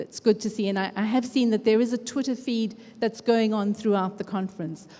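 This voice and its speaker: Her tone is dark and mellow. The woman speaks at a fairly quick pace with fairly even intonation. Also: fairly high pitch for a woman. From Africa. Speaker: education researcher and conference speaker. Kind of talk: conference talk. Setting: stage with audience. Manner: conversational.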